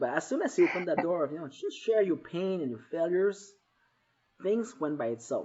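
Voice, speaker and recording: With a Quebec accent, a man speaks using lively intonation. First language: French. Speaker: author and entrepreneur. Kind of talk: live show interview. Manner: halting, with frequent repetitions.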